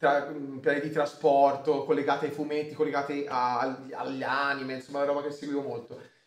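There is audible room echo as a man talks at a moderate pace with hardly any pauses, his fairly high-pitched voice monotone and flat. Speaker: streamer host. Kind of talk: casual chat. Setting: live stream. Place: home room.

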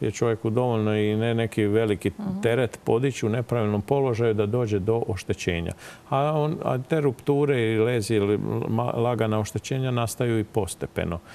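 At a moderate pace, a man talks with very even loudness. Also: ordinary pitch variation. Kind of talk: interview answer. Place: studio. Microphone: lapel.

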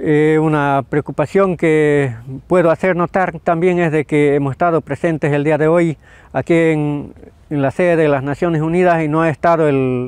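A man with a fairly high voice talks at a moderate pace with fairly even intonation and very even loudness, the sound dry with no echo over a quiet background. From Bolivia, Tarija department; Bolivia. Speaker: farmer and nature defender. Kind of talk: testimony statement to camera. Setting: at the UN headquarters in Geneva. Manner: halting, with frequent fillers. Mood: earnest, concerned. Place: garden. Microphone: lapel.

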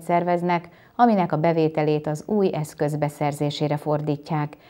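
Against a quiet background, a woman speaks at a moderate pace in a very deep, low pitch with a dark, mellow tone. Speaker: news anchor. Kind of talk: news reading. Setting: studio. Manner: formal. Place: studio.

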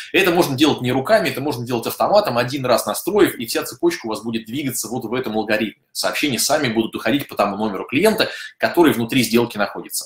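Talking at a very fast pace, a man uses lively intonation in a room with audible echo. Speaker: software company office head; webinar host, presenter. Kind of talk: webinar. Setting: online broadcast. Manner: fast talker. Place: home room.

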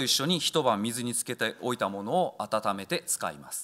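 A man talks at a fairly slow pace with very wide pitch swings and a bright, sharp tone. The background is quiet. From Japan, Osaka. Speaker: chef. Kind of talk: lecture. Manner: halting; formal. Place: hall. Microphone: podium.

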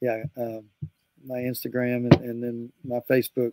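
A man's voice, dry and without any echo. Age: 60s. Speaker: music producer and guitarist; guest. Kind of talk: interview. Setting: video call. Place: studio.

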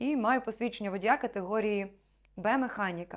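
A woman talks at a moderate pace in a normal speaking voice, with a fairly high pitch and ordinary pitch variation. The recording is very clean, with a silent background. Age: 20s. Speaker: actress. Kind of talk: self-presentation video.

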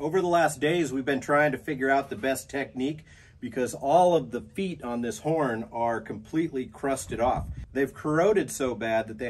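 The background carries light noise. A man talks at a moderate pace, his pitch varying in an ordinary way. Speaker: restoration project host. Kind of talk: tutorial. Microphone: camera far.

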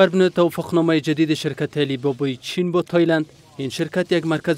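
His pitch is fairly high for a man, with fairly even intonation. The tone comes across as slightly mellow.

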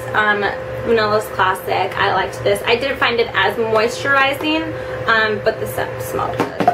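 Speaking at a moderate pace is a woman. Noticeable background noise runs behind her. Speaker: beauty vlogger. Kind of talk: casual vlog product review. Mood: chatty and upbeat. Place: home room. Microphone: camera far.

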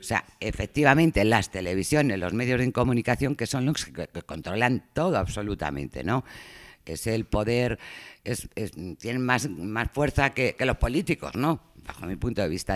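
At medium pitch and a moderate pace, a man talks with lively intonation and vocal fry. The recording is very clean with a silent background and a dry, close sound with no echo. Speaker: audience member. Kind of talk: panel talk.

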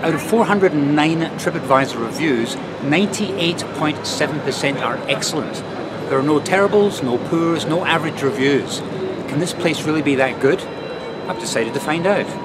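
The speech moves at a fairly slow pace with ordinary pitch variation. Loud background noise is present. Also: man. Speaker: food vlogger. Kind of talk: casual vlog chat. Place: street. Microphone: phone near.

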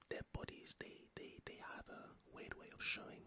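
A soft-spoken, whispering man at a moderate pace amid noticeable background noise. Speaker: ASMR creator. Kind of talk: soft-spoken ASMR fact sharing. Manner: close soft ASMR whisper, hesitant. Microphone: studio mic.

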